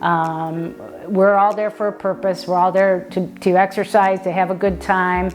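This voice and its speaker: With music in the background, a woman speaks at a moderate pace and medium pitch with fairly even intonation. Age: 60s. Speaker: pickleball player and former PE teacher. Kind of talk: interview monologue. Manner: halting, with fillers and repetitions.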